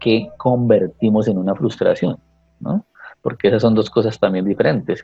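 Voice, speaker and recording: A man speaks at medium pitch and a moderate pace. His intonation is fairly even, with music in the background. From Colombia, Tequendama province (Cundinamarca). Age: 40s. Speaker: teacher. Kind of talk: casual interview conversation.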